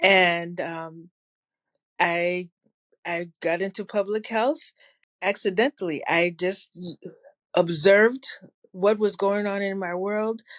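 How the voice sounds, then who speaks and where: In a very clean recording with a silent background, a woman with an American accent speaks at a very slow pace, with long, frequent pauses and ordinary pitch variation. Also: medium pitch for a woman. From New Jersey, Ghanaian family. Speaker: public health evaluation consultant. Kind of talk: interview conversation.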